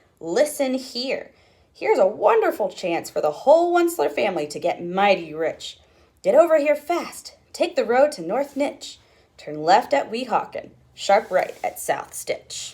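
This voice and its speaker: A female-sounding, put-on character voice is high and nasal. It moves at a moderate pace. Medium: read story.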